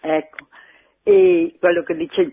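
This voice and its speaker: A woman speaks with ordinary pitch variation. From Brescia province, Italy. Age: 80s+. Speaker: former farmer. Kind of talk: phone-in testimony. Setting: phone call.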